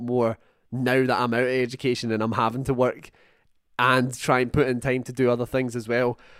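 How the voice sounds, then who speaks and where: A man with a Scottish accent talks at a fairly quick pace. The recording is very clean, with a silent background. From Scotland. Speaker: podcast host. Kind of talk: casual chat.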